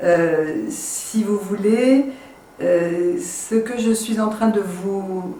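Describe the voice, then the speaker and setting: A woman with a fairly high pitch and lively intonation speaks at a very slow pace, with audible room echo and noticeable background noise. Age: 60s. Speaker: network marketing entrepreneur. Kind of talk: sales pitch. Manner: hesitant, many fillers.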